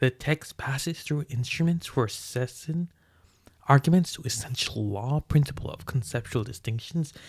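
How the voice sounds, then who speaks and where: Somewhat breathy, a man speaks with lively intonation and big swings in loudness. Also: medium pitch for a man, moderate pace. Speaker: streamer reading books aloud. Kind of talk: reading aloud with casual commentary. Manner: halting, stumbling over words.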